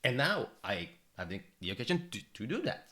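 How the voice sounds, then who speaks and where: In a very clean recording with a silent background, a man with a non-native accent makes very wide pitch swings. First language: not English. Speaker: psychology teacher and reaction youtuber. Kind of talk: reaction commentary. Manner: animated, fluctuating tone; loud at times.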